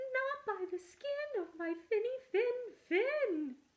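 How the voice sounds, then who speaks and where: In a put-on character voice, a woman squeaks at an extremely high pitch and a very slow pace. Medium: read story. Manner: small, earnest.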